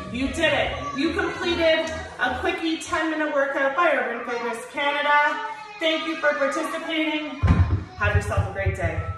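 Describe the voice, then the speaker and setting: A woman talks at a moderate pace with clear music behind her. Her voice carries a strong room echo. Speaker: fitness instructor. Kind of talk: workout instruction. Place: gym. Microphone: camera far.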